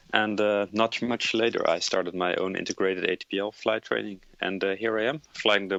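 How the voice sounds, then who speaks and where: With a Dutch accent, a man talks at a fairly quick pace in a fairly low pitch, keeping his intonation fairly even. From Netherlands. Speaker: airline pilot. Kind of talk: interview. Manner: halting, many filler uhs.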